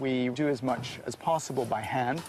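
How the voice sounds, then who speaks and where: Amid noticeable background noise, a man speaks at a medium pitch with ordinary pitch variation. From Canada, Toronto. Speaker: baker, trained architect. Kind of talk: casual interview and demonstration.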